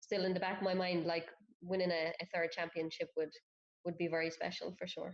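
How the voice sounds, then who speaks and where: In an Irish accent, a woman with a fairly low pitch talks at a fairly quick pace in a flat monotone. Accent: Irish accent, noticeable. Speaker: professional footballer. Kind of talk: interview.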